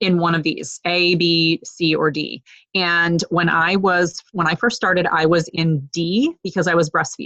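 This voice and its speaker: A woman with an ordinary speaking voice, fairly low in pitch, with fairly even intonation and very even loudness. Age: 40s. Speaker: fitness coach. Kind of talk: online group call tutorial. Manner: filler-heavy, casual.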